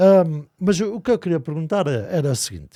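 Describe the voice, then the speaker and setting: A man's fairly high voice with a dark, mellow tone, lively intonation and a fairly slow pace, on a very clean recording with a silent background. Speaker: podcast host. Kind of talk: podcast interview questions.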